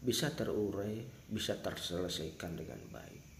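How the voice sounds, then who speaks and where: Audible room echo surrounds a man speaking at a fairly slow pace. His pitch is fairly low, with vocal fry. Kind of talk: spoken address to viewers. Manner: earnest, emphatic.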